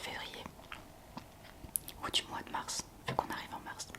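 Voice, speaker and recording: Whispering at a moderate pace, a woman speaks in a gentle tone over noticeable background noise. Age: 20s. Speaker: ASMR content creator. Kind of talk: ASMR talk to camera. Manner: soft-spoken, gentle.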